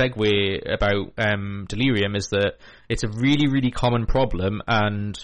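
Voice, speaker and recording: A man's normal speaking voice at a moderate pace, ordinary pitch variation, quiet background. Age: 30s. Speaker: community radio host of a mental health show. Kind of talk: casual radio chat. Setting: radio studio.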